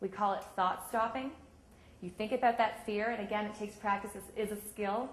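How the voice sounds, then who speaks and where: Somewhat breathy and fairly high in pitch, a woman talks at a fairly quick pace with fairly even intonation and audible room echo. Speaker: sports psychology coach. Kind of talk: workshop talk. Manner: fast.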